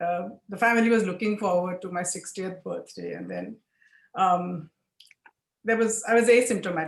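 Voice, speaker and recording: A woman speaks at a moderate pace with a medium pitch, fairly even intonation and vocal fry. Her loudness swings widely. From India. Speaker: lawyer and cancer survivor. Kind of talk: testimony.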